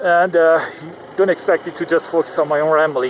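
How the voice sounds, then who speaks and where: A man's fairly high, monotone voice with flat intonation and a non-native accent, over noticeable background noise. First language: not English. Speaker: vlogger. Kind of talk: casual vlog monologue. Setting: in a car in traffic. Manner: halting, many fillers.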